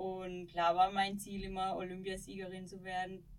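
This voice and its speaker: A woman speaks at a fairly slow pace, her pitch sitting in the middle range. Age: 30s. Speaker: former ski jumper. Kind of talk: interview conversation. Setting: small podcast studio.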